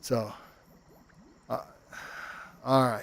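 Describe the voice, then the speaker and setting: A man speaks at a moderate pace. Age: 60s. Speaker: VR game streamer. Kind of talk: live gameplay stream commentary. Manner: casual, halting with fillers.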